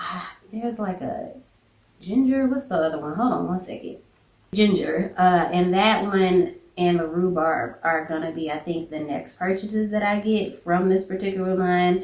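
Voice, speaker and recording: A woman with a slight Southern accent speaks at a fairly slow pace and medium pitch, with an animated tone and ordinary pitch variation. Room echo is audible. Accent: slight southern twang. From US South. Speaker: beauty and fragrance YouTuber. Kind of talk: casual product review vlog. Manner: chatty, animated.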